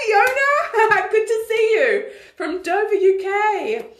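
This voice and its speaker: A woman is speaking. Some room echo can be heard. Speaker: online community leader and coach. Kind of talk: live Q&A stream. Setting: live video stream.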